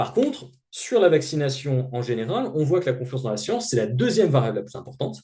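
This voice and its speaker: A man's medium-pitched, somewhat breathy voice with a dark, mellow tone and lively intonation. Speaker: sociologist. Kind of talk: lecture. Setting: seminar. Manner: halting.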